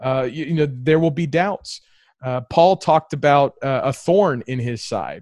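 A man with a normal speaking voice talks at a fairly high pitch and a fairly slow pace. His pitch variation is ordinary, and the sound is dry and close with no echo. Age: 30s. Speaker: combat veteran and restaurant owner. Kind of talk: casual chat. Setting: video call.

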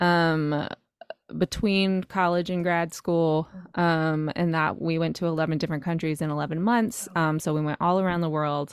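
A woman with an American accent talks in an ordinary speaking voice, her pitch fairly low. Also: fairly even intonation, moderate pace. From North Carolina, rural. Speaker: podcast host and singles coach. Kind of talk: casual interview chat.

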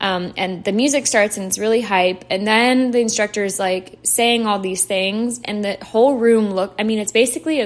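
With an unremarkable speaking voice, a woman talks at a medium pitch and moderate pace with fairly even intonation. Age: 20s. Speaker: podcast host. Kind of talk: casual solo monologue.

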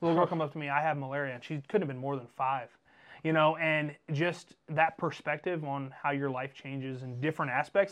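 With an American accent, a man has an unremarkable speaking voice, fairly high in pitch, delivered at a fairly quick pace against a quiet background. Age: 30s. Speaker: podcast host. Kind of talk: casual chat.

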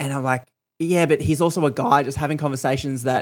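In a very clean recording with a silent background, a man with an Australian accent speaks at a fairly quick pace and fairly high pitch, using ordinary pitch variation. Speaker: podcast host. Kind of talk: casual chat.

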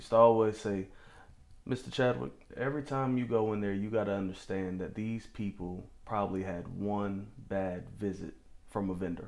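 Moderate speed, ordinary pitch movement and a normal speaking voice in an American accent. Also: man, fairly low pitch for a man. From New Bern, North Carolina. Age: 20s. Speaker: podcast host. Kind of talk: interview.

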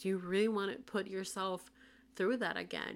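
A woman with a Spanish accent at a medium pitch. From Puerto Rico. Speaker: podcast host. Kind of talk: casual monologue. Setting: solo podcast recording. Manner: frequent laughter.

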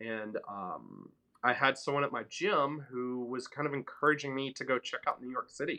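Using an American accent, a man speaks at a moderate pace and medium pitch. His tone is bright and sharp, with ordinary pitch variation. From US South, Memphis, Tennessee. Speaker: entrepreneur and mentor. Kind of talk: casual interview chat.

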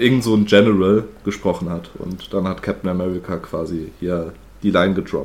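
A man's very deep, low voice at a moderate pace, with fairly even intonation. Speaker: podcast host. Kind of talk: casual chat.

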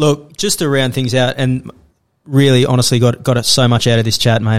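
With an Australian accent, a man races at a very fast pace at a medium pitch with ordinary pitch variation on a very clean recording with a silent background. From Australia, Sydney. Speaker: podcast host. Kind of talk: casual interview chat.

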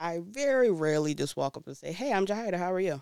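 A woman with an American accent speaks at a fairly quick pace in a nervous tone. The recording is very clean, with a silent background. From Brooklyn, New York. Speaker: podcast host. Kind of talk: casual solo podcast monologue. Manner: nervous, stumbling, laughs often.

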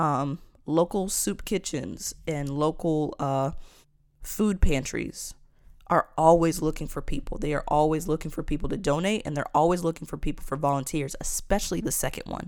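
A woman's very deep, low voice, animated and passionate, at a moderate pace on a very clean recording with a silent background. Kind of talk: opinionated monologue, preachy commentary. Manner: animated, passionate.

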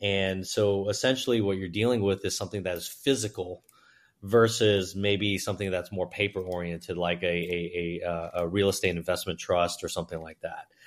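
A plain, everyday voice at a fairly quick pace, fairly even in intonation, on a very clean recording with a silent background. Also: man, fairly low pitch for a man. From China, raised in US (New York, Houston). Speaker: entrepreneur and investor. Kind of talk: interview conversation. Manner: fluent but with many filler words.

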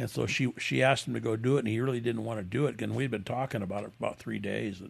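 With an American accent, a man speaks very fast in a fairly low voice with vocal fry and lively intonation. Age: 70s. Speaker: custom motorcycle builder. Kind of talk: interview. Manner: halting.

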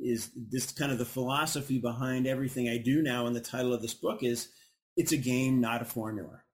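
A man speaks in an ordinary speaking voice. His pitch is medium and his pace moderate. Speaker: physicist and author. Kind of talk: interview. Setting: studio with live audience.

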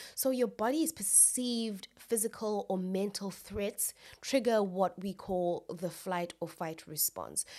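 Recorded very cleanly over a silent background, a woman uses a normal speaking voice at medium pitch with ordinary pitch variation. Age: 20s. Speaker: podcast host. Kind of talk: solo educational podcast talk. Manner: casual, with laughter.

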